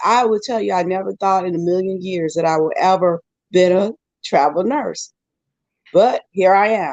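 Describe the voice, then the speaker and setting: With ordinary pitch variation and a medium pitch, a woman speaks in a plain, everyday voice, the sound dry and close with no echo. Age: 60s. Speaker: travel nurse. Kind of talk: panel discussion.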